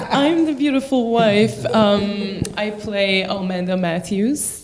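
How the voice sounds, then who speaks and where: Very slow female speech at medium pitch, lively intonation, noticeable background noise. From Quebec. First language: French. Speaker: actor. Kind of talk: interview.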